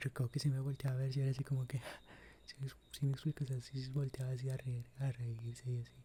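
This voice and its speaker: A soft-spoken man talks very fast in a somewhat breathy, dark, mellow voice at a medium pitch, with monotone, flat intonation. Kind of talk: ASMR story time.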